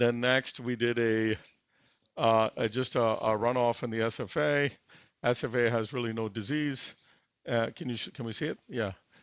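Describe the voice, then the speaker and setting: Here a man talks at a medium pitch. His pace is moderate and his intonation fairly even. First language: not English. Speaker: interventional cardiologist performing a live case. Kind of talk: live case commentary. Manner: halting, many fillers.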